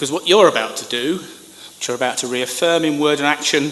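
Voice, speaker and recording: Noticeable background noise under a man talking at a fairly quick pace with ordinary pitch variation. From Britain. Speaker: conference keynote speaker, former government communicator. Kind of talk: keynote speech.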